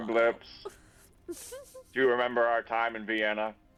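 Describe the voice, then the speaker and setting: This put-on character voice is low-pitched and delivered in a monotone, flat intonation. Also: moderate pace. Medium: actual play. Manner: blunt, offbeat.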